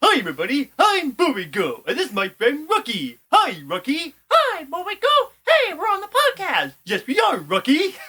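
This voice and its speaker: A man does a put-on character voice at an extremely high pitch. He keeps a moderate pace with hardly any pauses. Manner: cheerful, animated.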